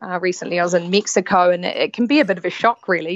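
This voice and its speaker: A woman with a New Zealand accent, fairly quick pace, and fairly even intonation. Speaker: yacht stewardess. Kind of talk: casual chat. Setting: remote call.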